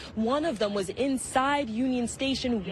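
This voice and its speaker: High-pitched woman with an American accent and ordinary pitch variation, over noticeable background noise. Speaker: TV news reporter. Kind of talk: TV news reporting, live and packaged stories. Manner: clear, professional, measured.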